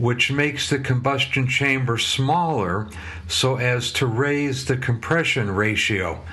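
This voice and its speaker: A voice with an American accent and a bright, sharp tone comes through with audible room echo. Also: man. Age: 60s. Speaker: motorcycle mechanic and video host. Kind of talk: casual commentary. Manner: hesitant, many fillers.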